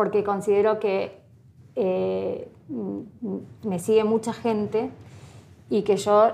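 Very slow woman's voice in a dark, mellow tone. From Argentina, Entre Ríos province. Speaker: pastry influencer. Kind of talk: interview.

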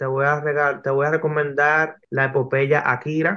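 Over a quiet background, a man with a fairly high pitch and a bright, sharp tone speaks fairly slowly. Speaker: graphic novelist. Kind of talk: interview.

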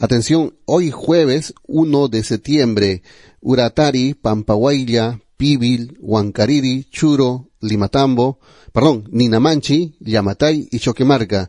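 A man's medium-pitched, dark, mellow voice at a very slow pace with ordinary pitch variation, dry and close with no echo, over a quiet background. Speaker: radio host. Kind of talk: morning radio show. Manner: repeats time checks, announcer style.

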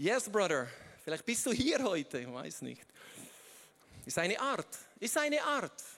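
With a bright, sharp tone and high pitch, a man speaks at a fairly slow pace, his pitch swinging very widely between long, frequent pauses. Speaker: guest preacher. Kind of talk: sermon. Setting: stage with audience. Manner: halting.

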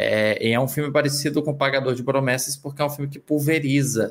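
Recorded very cleanly against a silent background, a man with a plain, everyday voice speaks at a fairly quick pace with fairly even intonation. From Northeast Brazil. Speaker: film critic. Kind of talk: casual panel discussion.

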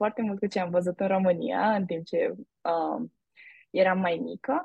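This woman talks very slowly, at medium pitch and with ordinary pitch variation. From Romania, Brașov. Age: young. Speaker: university student. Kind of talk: interview.

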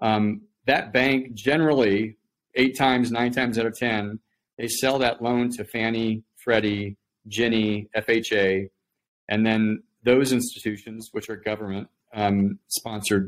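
With an American accent, a man speaks in an ordinary speaking voice at a medium pitch and a fairly even intonation. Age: 50s. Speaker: startup executive. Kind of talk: interview.

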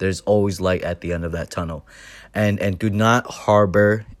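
A man speaks quietly at a moderate pace and a fairly low pitch. The recording is very clean with a silent background. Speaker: first-time podcaster. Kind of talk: personal monologue. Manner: halting.

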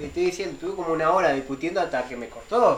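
Music plays in the background as a man speaks. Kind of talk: casual chat.

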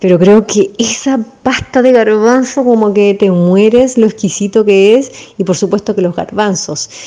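At a fairly slow pace, a woman with a Chilean accent speaks in a fairly high pitch. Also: ordinary pitch variation. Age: 40s. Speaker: dance teacher. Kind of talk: interview.

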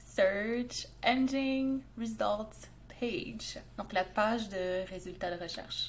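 Somewhat breathy, a woman speaks at a very slow pace with a slight Canadian French accent. Room echo is audible. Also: fairly high pitch for a woman, ordinary pitch variation. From Montreal, Quebec. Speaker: SEO expert, podcast co-host. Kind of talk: casual chat.

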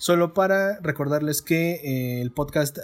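Recorded very cleanly against a silent background, a man with a Mexican accent speaks at a fairly high pitch with ordinary pitch variation. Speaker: podcast host, film reviewer. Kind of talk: casual chat.

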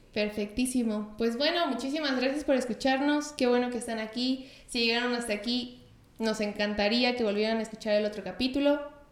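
Her high-pitched voice runs at a fairly quick pace with hardly any pauses and fairly even intonation. Audible room echo and noticeable background noise surround this woman. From Mexico. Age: 20s. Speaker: podcast co-host, nutritionist. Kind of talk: casual chat.

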